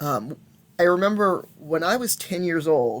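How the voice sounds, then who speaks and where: The speaker is a man. His pitch is high. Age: 50s. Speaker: intersex elder and shaman telling life story. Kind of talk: personal testimony. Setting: recorded alone at home. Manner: halting, many fillers and restarts. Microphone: old laptop.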